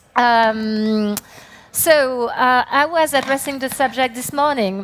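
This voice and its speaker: Speaking in a French accent, a woman has a high pitch and ordinary pitch variation. Her pace is very slow. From France. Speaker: company CEO, conference speaker. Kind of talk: conference talk. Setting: stage with audience. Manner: hesitant, many fillers.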